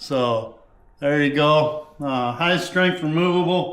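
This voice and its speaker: Audible room echo surrounds a man's voice. He speaks fairly high at a very slow pace. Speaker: fishing tutorial creator. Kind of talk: tutorial. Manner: loud; casual with many fillers.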